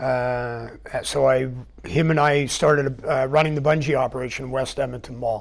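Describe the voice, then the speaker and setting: Over noticeable background noise, a man with a Canadian accent speaks at a moderate pace and medium pitch with fairly even intonation. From Vancouver Island, British Columbia, Canada. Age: 60s. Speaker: business owner and retired military parachute rigger. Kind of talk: interview. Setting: TV studio.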